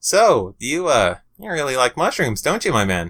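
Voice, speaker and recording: A man puts on a character voice, pitched fairly high for a man. His pitch swings very widely. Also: moderate pace. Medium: read story. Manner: casual, slangy.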